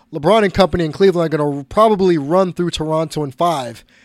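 This man talks at a fairly quick pace with a high pitch and ordinary pitch variation. The recording is very clean, with a silent background. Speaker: sports podcast host. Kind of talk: solo podcast monologue. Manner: animated.

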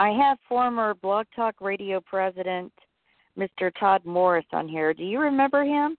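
A woman's unremarkable speaking voice of medium pitch, moderate in pace, with lively intonation. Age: 40s. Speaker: internet radio host. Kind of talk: casual chat. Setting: online call-in show via Skype.

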